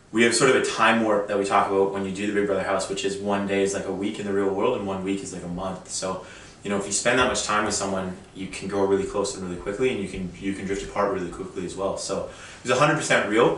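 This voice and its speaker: Very fast, monotone speech from a man with a fairly low pitch and flat intonation, with audible room echo and noticeable background noise. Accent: Canadian. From Canada. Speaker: reality show contestant. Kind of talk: interview.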